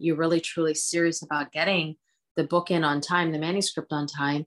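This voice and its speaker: A woman speaks in a very deep, low voice at a fairly quick pace. Her intonation is monotone and flat, over a quiet background. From US, suburban Philadelphia (born in India). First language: Hindi. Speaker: cookbook author and entrepreneur. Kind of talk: interview conversation.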